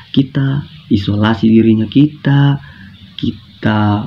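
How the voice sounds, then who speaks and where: Soft-spoken and somewhat breathy, a man talks at a very slow pace with a medium pitch and ordinary pitch variation. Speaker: university student presenting. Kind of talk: classroom guidance presentation. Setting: recorded at home at night.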